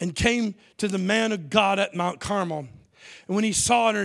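A natural voice is heard here. It is reading a text aloud.

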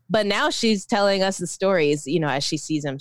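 A woman with an American accent, fairly low in pitch, with an ordinary speaking voice, fairly quick in pace and lively in intonation. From Philippines, raised Orlando, US. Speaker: author and poet. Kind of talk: interview.

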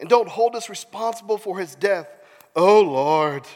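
This unforced reading voice has lively intonation throughout.

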